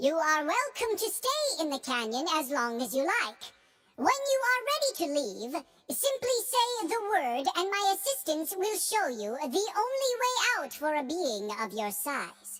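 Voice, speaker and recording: Put-on, squeaky character voice at an extremely high pitch, with very wide pitch swings. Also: moderate pace. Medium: machinima. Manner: polite, formal.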